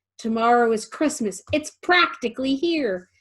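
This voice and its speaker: Putting on a character voice, a woman growls in a high pitch with lively intonation at a moderate pace. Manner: snarling, sneering.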